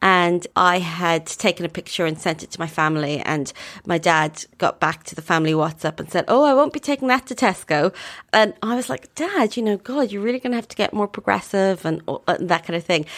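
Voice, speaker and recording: In an Irish accent, a woman speaks at a fairly quick pace with lively intonation, a fairly low pitch, and big swings in loudness, on a very clean recording with a silent background. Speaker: writer and journalist. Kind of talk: interview.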